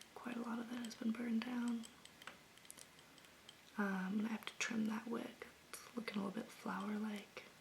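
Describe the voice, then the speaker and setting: A soft-spoken woman talks at a fairly high pitch in a gentle, relaxed tone, with monotone, flat intonation and a moderate pace. Her speech has long, frequent pauses, and there is noticeable background noise. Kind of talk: ASMR soft-spoken talk to camera about candles. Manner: soft-spoken, gentle, relaxed.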